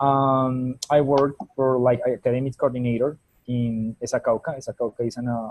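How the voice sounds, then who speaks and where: A man's monotone, flat voice in a Spanish accent, with a dry, close sound and no echo. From Colombia. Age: 20s. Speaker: teacher. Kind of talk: self-introduction in class. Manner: halting.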